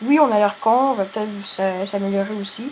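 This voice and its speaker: Noticeable background noise fills the recording. The talking proceeds at a moderate speed. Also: woman. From Quebec. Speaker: gaming youtuber. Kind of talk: casual gameplay commentary. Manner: halting, repeats words.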